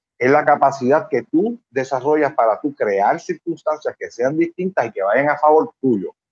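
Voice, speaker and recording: Dry and close with no echo, a man's normal speaking voice moves at a moderate pace, fairly high in pitch with lively intonation. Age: 50s. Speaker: psychologist. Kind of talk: casual interview.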